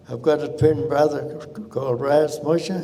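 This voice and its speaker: Over noticeable background noise and audible room echo, a man talks at a fairly slow pace with a fairly high pitch. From South Australia outback (Marree). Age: 80s+. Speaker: cameleer descendant. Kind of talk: oral history talk. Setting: stage with audience. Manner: halting.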